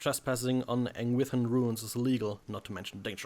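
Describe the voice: The clip is plain reading aloud.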